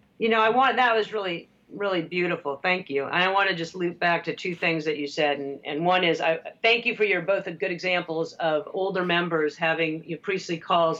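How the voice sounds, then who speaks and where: Here is a woman with a plain, everyday voice and fairly low pitch. She talks at a fairly quick pace with ordinary pitch variation. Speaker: author and lecturer. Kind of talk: casual chat.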